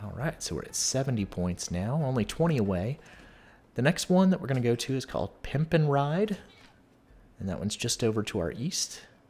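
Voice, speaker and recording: A man speaking at a fairly quick pace, medium pitch, calm tone, very wide pitch swings, somewhat breathy. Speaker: gaming youtuber. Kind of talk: gameplay tutorial. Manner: calm, conversational.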